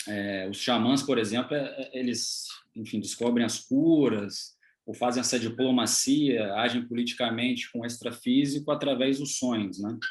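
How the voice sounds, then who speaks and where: A man speaks with a normal speaking voice at a moderate pace. His pitch is medium, with fairly even intonation. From Brazil. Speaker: photographer interviewer. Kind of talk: interview conversation. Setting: video call.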